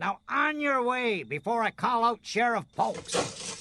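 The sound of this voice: A man puts on a character voice at an extremely high pitch, bright and sharp with vocal fry. He speaks slowly, with big pitch swings.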